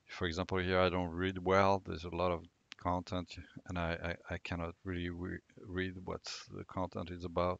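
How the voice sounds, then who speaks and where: With a dry, close sound, no echo and a quiet background, a man speaks in a very deep, low voice at a moderate pace and a monotone, flat intonation. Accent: non-native. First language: not English. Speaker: tech tutorial creator. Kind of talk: screen-recorded tutorial. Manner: halting, many fillers.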